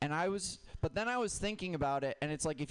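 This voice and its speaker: A man's normal speaking voice, fairly high-pitched, with lively intonation and a fairly quick pace. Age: young. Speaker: stand-up comedian. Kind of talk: stand-up.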